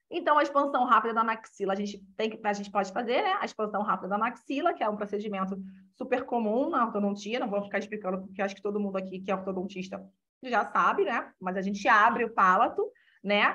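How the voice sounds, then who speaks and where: Very fast speech comes from a woman whose pitch variation is ordinary. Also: medium pitch for a woman. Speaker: orthodontist giving a talk. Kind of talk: lecture.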